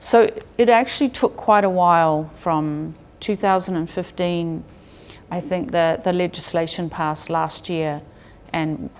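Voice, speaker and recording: This speaker has a New Zealand accent and ordinary pitch variation. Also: woman. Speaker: public health researcher. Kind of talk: interview.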